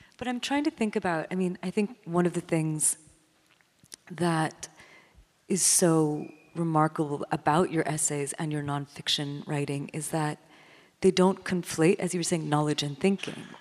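A woman with a fairly low pitch and ordinary pitch variation talks at a moderate speed in an unremarkable speaking voice. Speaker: literary critic and interviewer. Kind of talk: onstage interview. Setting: stage with audience.

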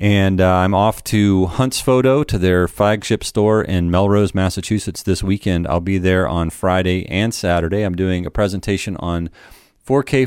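In a plain, everyday voice, a man with an American accent speaks at a moderate pace. The recording is very clean, with a silent background. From United States. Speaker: podcast host, photographer. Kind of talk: interview; podcast intro monologue. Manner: casual, many fillers.

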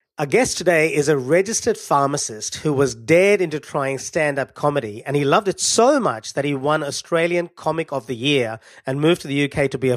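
On a very clean recording with a silent background and a dry, close sound without echo, a man of fairly high pitch talks at a fairly quick pace in an unremarkable speaking voice with ordinary pitch variation. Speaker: podcast host. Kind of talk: casual interview.

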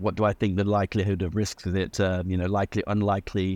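A man speaks in a monotone, flat intonation at a fairly low pitch. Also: quiet background. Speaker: dentist. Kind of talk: casual interview.

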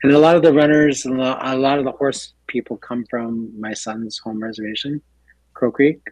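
An unremarkable speaking voice from a man at medium pitch, moderate pace and fairly even intonation, dry and close with no echo. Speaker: clinic executive officer, guest. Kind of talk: casual radio interview.

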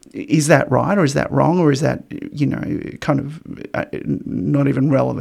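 A man with an Australian accent at a moderate pace, amid noticeable background noise. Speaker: podcast host and lecturer. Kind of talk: casual interview conversation.

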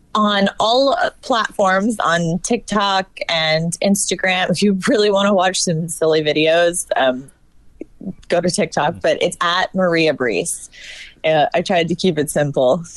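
An ordinary speaking voice with an American accent comes through at a fairly slow pace, with very even loudness and ordinary pitch variation. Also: woman, medium pitch for a woman. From northern Virginia, US South. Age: young. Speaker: actress and film producer. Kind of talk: casual chat.

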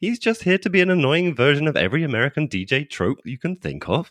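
This man's voice has vocal fry and moves at a fairly quick pace. The recording sounds dry and close, without echo. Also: very clean recording, silent background. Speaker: podcast host. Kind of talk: casual chat. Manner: casual, laughs often.

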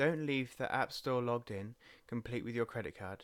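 Here a man speaks in an English accent with lively intonation. The recording is very clean, with a silent background. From England. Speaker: podcast host, father and social media manager. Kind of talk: solo podcast monologue. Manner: casual with frequent fillers.

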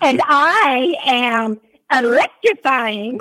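Raised and projected, a woman's high, bright, sharp voice moves with lively intonation in a Southern US accent. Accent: Southern American. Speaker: radio show co-host. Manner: playful, joking.

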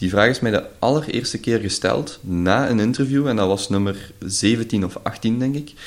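A man speaks at a medium pitch and moderate pace with ordinary pitch variation, hardly any pauses, and noticeable background noise. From Belgium, Limburg. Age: 20s. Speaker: podcast host and entrepreneur. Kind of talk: casual interview chat.

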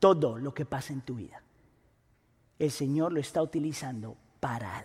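A somewhat breathy man with ordinary pitch variation and long, frequent pauses. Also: fairly high pitch for a man, moderate pace. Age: 40s. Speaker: pastor. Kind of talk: sermon.

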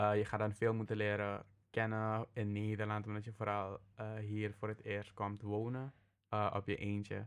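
With a quiet background behind him, a man talks in a fairly low pitch and a flat, monotone delivery. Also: moderate pace. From Suriname. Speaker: master's student. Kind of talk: interview.

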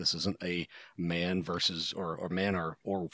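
Recorded very cleanly against a silent background, a man with an American accent talks in a very deep, low pitch, the sound dry and close with no echo. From US Midwest, Ohio Rust Belt. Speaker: podcast co-host. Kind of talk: casual chat.

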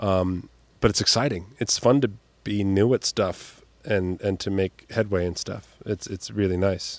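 An unremarkable speaking voice from a man, fairly low in pitch, with fairly even intonation and a fairly slow pace. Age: 40s. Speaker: comedian and magician. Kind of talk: casual chat.

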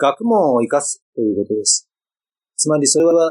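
A man talks at a moderate pace. The sound is dry and close, with no echo at all. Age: 50s. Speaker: company founder, public library and museum producer. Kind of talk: podcast interview.

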